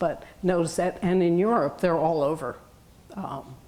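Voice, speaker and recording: A woman with an American accent has an unremarkable speaking voice at a fairly low pitch. She moves at a moderate pace. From New York. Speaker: retired teacher and hearing loss advocate. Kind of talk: lecture. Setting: room with audience.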